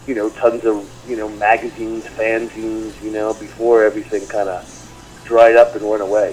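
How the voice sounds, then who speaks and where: Amid noticeable background noise, a man speaks in a monotone, flat intonation. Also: medium pitch for a man, moderate pace. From US Northeast, Long Island, New York. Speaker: metal guitarist. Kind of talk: interview. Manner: halting, many fillers.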